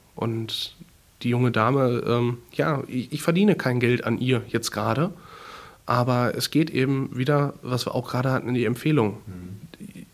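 A man with a plain, everyday voice speaks at a moderate pace with ordinary pitch variation. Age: 20s. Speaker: car salesman and content creator. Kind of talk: interview.

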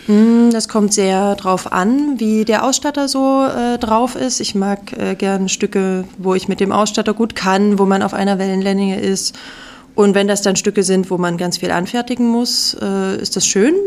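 This woman's voice sits at a medium pitch with ordinary pitch variation. Her pace is fairly slow. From Saxony, Radebeul near Dresden. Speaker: theatre costume maker. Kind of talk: interview. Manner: hesitant, many fillers.

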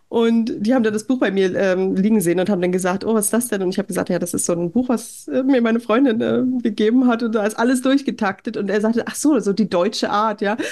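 With a dark, mellow tone and fairly high pitch, a woman speaks at a very fast pace with hardly any pauses and ordinary pitch variation. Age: 30s. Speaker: podcaster, mother living abroad. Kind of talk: interview. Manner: hesitant with filler sounds.

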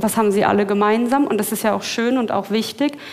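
Over noticeable background noise, a fairly high-pitched woman speaks at a fairly quick pace with fairly even intonation. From Berlin, Germany. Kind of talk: live podcast panel discussion. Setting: stage with live audience.

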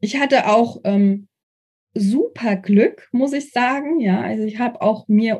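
Somewhat breathy, a woman speaks at a very slow pace and a fairly high pitch. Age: 30s. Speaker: investor and former hotel professional. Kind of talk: casual interview.

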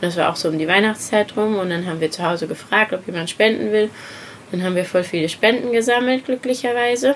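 A woman talking at a very fast pace, ordinary pitch variation, noticeable background noise. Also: medium pitch for a woman. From Saarland, Germany. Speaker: interior designer and charity founder. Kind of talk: casual interview. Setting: outdoors by the sea.

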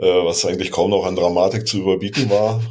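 In a normal speaking voice, a man speaks at a moderate pace. His pitch is fairly low and his intonation fairly even. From Berlin. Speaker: football fan. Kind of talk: casual chat.

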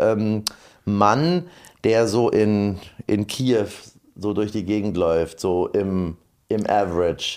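A man's medium-pitched voice at a very slow pace. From eastern Germany. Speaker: sommelier and restaurateur. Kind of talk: casual chat.

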